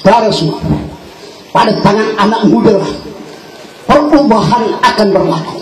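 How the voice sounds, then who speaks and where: Fairly slow speech from a man carries audible room echo amid noticeable background noise. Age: 60s. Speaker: politician. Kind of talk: political rally speech. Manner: animated.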